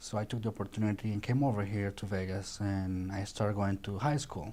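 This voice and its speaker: Speaking at a fairly quick pace with a Colombian accent, a man uses a fairly low pitch, a dark, mellow tone and fairly even intonation. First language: Spanish. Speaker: chef. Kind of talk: interview. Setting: studio. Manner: halting.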